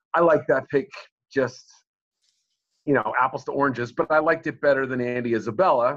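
At a fairly quick pace, a man with an American accent speaks at a medium pitch in an unremarkable speaking voice. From Boston area, US. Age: middle-aged. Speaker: sports journalist. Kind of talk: interview.

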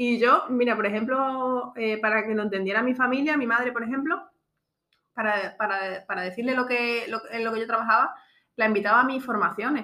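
This woman's voice is bright and sharp, pitched fairly high. She talks at a fairly quick pace with fairly even intonation. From Extremadura, Spain. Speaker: podcast host, entrepreneur. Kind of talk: casual chat.

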